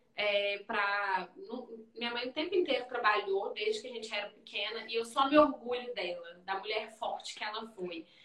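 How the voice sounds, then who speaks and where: A woman's fairly high voice with big swings in loudness and hardly any pauses, over noticeable background noise. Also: ordinary pitch variation, moderate pace. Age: 30s. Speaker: physiotherapist and business owner. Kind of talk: casual interview on Instagram live. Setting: video live stream from her clinic.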